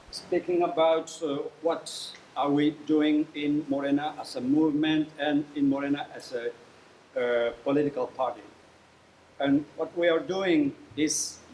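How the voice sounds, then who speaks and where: With a Mexican accent, a man speaks at a very slow pace over noticeable background noise. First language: Spanish. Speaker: professor and political activist. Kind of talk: lecture. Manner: halting.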